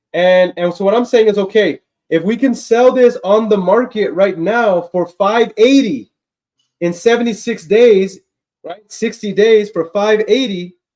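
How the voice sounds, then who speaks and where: Loud and high-pitched, a man's voice comes through. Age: young. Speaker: real estate investor and live streamer. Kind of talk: live stream deal negotiation. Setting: live stream. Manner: energetic.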